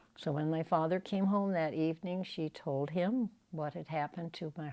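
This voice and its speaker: The voice has a dark, mellow tone with ordinary pitch variation and an American accent. The recording is very clean, with a silent background. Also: woman. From Ohio, US Midwest. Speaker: elderly interviewee recounting life story. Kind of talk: oral history interview. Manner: halting.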